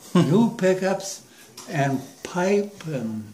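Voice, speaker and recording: Amid noticeable background noise and audible room echo, a man talks with very wide pitch swings. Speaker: war veteran. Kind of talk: casual chat. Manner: halting.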